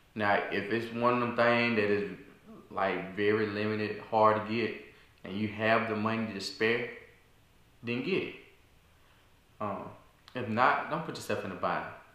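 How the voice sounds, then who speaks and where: A man's fairly low, bright, sharp voice at a moderate pace with fairly even intonation and long, frequent pauses, in audible room echo. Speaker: video creator. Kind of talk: casual vlog chat. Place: home room. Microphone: camera far.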